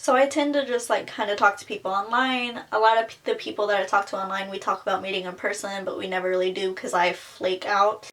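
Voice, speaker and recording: Noticeable background noise sits behind a woman talking at a very fast pace with hardly any pauses. Her pitch is medium, with ordinary variation. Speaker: beauty vlogger. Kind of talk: personal testimony vlog. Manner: casual, filler-heavy.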